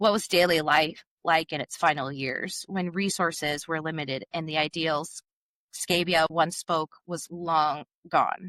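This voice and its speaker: A woman's bright, sharp tone comes at a fairly low pitch and a fairly slow pace. Her intonation is fairly even, and the sound is dry and close with no echo. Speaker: podcast host. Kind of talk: reading researched script in casual chat.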